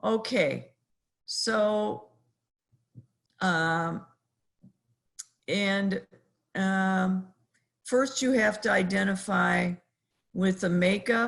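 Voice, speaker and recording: Female speech at a medium pitch, its pitch varying in an ordinary way. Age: 60s. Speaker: professor. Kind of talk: lecture. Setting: video call. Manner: halting.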